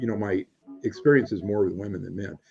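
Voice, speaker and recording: Over music in the background, a man talks in a fairly low voice. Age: 60s. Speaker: retired physician and author. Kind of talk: interview. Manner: halting.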